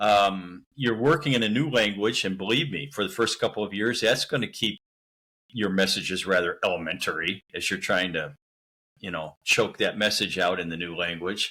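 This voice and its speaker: On a very clean recording with a silent background, a man with a bright, sharp tone and fairly low pitch speaks at a moderate pace with ordinary pitch variation. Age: 60s. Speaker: missionary. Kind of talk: interview conversation.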